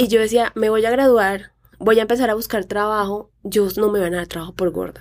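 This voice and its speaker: A woman speaks at a moderate pace with an unremarkable speaking voice. Her pitch is fairly high, with ordinary variation. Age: 30s. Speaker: fashion blogger and influencer. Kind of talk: casual chat.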